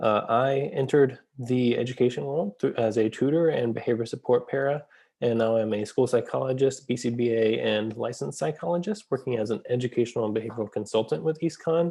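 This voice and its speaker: A man talks fairly quickly with hardly any pauses, in a medium pitch and a dark, mellow tone. His pitch variation is ordinary, and the background is quiet. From US South, Atlanta area. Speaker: school psychologist and educational consultant. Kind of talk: course introduction video.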